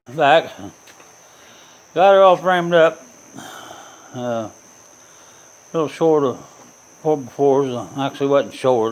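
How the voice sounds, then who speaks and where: Against noticeable background noise, a man speaks at a moderate pace, leaving long, frequent pauses. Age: 60s. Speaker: DIY woodworking and hunting vlogger. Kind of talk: casual how-to tutorial. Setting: home garage workshop. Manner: halting, with fillers and repeats.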